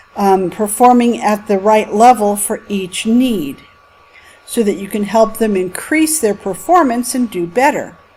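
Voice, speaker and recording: A woman's lively intonation comes through at a fairly slow pace over noticeable background noise. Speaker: college instructor. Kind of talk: lecture. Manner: expressive, with highs and lows.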